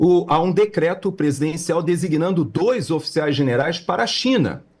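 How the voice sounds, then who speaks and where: Over a silent background in a very clean recording, a man speaks at a moderate pace. His voice is high-pitched with lively intonation. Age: 60s. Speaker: political commentator. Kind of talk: political commentary chat. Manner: halting with many fillers.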